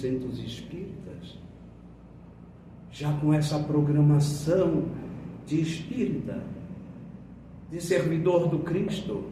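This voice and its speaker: A man's fairly high voice at a very slow pace, with ordinary pitch variation and audible room echo. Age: 70s. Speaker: spiritist lecturer. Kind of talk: sermon. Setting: spiritist centre.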